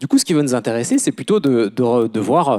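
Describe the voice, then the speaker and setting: A man speaks in a dark, mellow tone with very wide pitch swings. The recording is dry and close with no echo, its background very clean and silent. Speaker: recruitment consultant. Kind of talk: conference talk. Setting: conference room with audience. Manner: halting, many hesitations. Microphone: quiet at first, mic moved closer.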